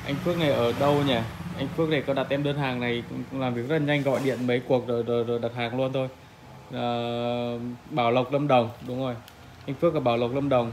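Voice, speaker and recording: A man's monotone, flat intonation at a fairly quick pace, over light background noise. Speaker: solar equipment seller. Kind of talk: product walkthrough commentary. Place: shop. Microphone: phone near.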